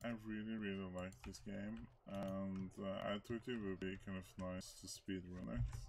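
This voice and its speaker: Noticeable background noise sits behind a man speaking at a fairly slow pace in a very deep, low pitch. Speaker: speedrunner. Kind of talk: gameplay commentary. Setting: faulty microphone. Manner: hesitant, many filler words. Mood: relaxed, a bit hesitant. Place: home room.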